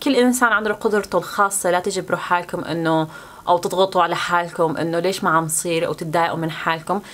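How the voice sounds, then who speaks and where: Speaking fairly quickly in a Syrian accent, a woman uses a medium pitch with ordinary pitch variation. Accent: Levantine Arabic (Syrian). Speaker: YouTuber, student. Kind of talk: casual vlog talk to camera.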